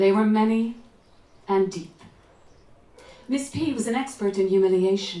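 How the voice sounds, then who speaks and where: Someone with an Irish accent speaks at a fairly slow pace, with long, frequent pauses and ordinary pitch variation. The room echo is audible. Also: woman, medium pitch for a woman. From Ireland, County Clare. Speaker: author and actress. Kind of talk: reading aloud.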